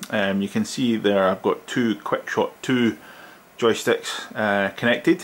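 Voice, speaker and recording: Here a man speaks in a Scottish accent. His pace is fairly slow. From Scotland. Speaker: tech reviewer. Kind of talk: product review. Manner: casual with many fillers.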